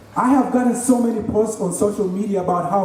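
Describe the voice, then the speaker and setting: This man speaks at a moderate pace in a high voice with ordinary pitch variation, over noticeable background noise and audible room echo. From Kenya, Nairobi. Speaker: graduating student. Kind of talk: commencement speech. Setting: stage with audience.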